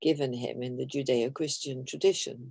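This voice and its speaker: A woman talks at a moderate pace in a dark, mellow tone. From Britain, half Irish, half Belgian. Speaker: author. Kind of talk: interview.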